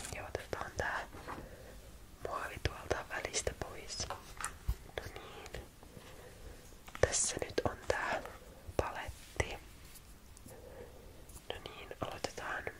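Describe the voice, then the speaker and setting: A whispering woman at a very slow pace, with long, frequent pauses, big swings in loudness and noticeable background noise. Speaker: ASMR creator. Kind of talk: ASMR follow-my-instructions roleplay. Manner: soft, calm, slow.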